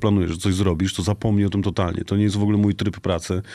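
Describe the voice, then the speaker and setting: Very fast and monotone, a man with a fairly low pitch and a dark, mellow tone is heard in a very clean recording against a silent background. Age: 40s. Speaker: DJ and music producer. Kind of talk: casual chat.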